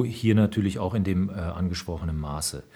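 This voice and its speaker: Recorded very cleanly against a silent background, a man speaks in a dark, mellow, somewhat breathy tone with lively intonation. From Rhineland, western Germany. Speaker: senior military officer. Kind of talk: interview. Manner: formal.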